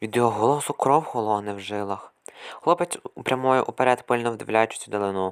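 This is an unforced reading voice. It carries an unforced reading voice throughout.

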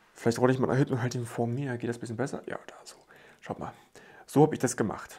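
A man speaks at a very fast pace, yet with long, frequent pauses. His intonation is monotone and flat, and his loudness swings widely. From Germany, rural village. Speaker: YouTube Lego reviewer; toy reviewer. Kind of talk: product review video. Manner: casual, chatty. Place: home room.

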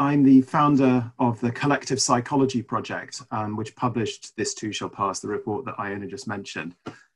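The man speaks at a fairly quick pace with ordinary pitch variation. His voice is somewhat breathy against a quiet background. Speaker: webinar presenter, report author. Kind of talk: presentation talk. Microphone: video call.

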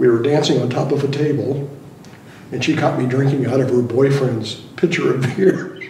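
Over audible room echo, a man speaks at a moderate pace and a medium pitch, with a dark, mellow tone and ordinary pitch variation.

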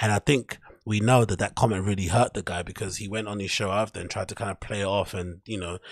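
Over a quiet background and in a dry sound with no echo, a man speaks somewhat breathily at a fairly low pitch, a fairly quick pace and fairly even intonation. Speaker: livestream host. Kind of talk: commentary. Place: home room. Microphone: studio mic.

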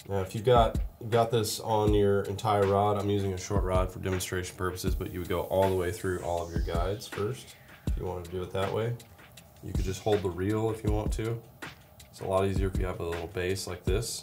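Clear music plays behind a man speaking. His fairly low voice holds a fairly even intonation. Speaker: presenter. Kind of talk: tutorial. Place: studio.

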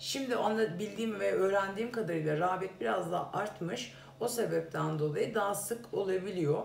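A woman's vocal fry at a fairly quick pace, with faint background noise. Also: medium pitch for a woman, ordinary pitch variation.

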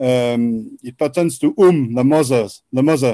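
A man with a French accent and a dark, mellow tone speaks fairly slowly with lively intonation, in a dry sound with no echo against a quiet background. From France. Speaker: researcher presenting Quran scholarship; guest. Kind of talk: presentation lecture. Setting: video call. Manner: halting. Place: home room. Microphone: video call.

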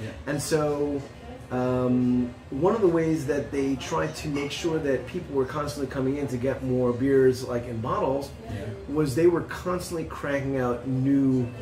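Clear music plays in the background. A man speaks at a fairly slow pace with ordinary pitch variation. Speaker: guest. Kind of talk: interview answer. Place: bar.

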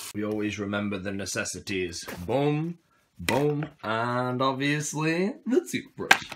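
Speaking at a fairly slow pace with lively intonation, a man is heard against noticeable background noise. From England. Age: 20s. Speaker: vlogger. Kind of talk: casual vlog. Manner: animated. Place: home room. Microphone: phone near.

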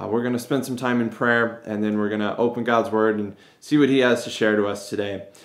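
A man's voice carries audible room echo. The background is quiet. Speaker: pastor. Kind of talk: service welcome and prayer. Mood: warm, upbeat greeting. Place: office. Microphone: phone near.

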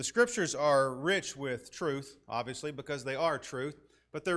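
A man speaks in a bright, sharp tone. His pitch varies in an ordinary way. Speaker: preacher. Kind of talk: announcements then sermon. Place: church.

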